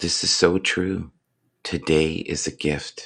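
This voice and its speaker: A man uses a put-on character voice that is raspy and very deep in pitch. He speaks at a very slow pace. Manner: earnest, uplifting.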